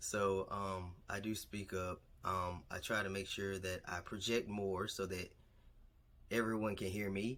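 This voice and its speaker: Soft-spoken and fairly low in pitch, a man talks at a fairly slow pace on a very clean recording with a silent background. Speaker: vlogger. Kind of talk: casual vlog monologue. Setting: alone in a quiet room. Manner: speaking a little louder than usual.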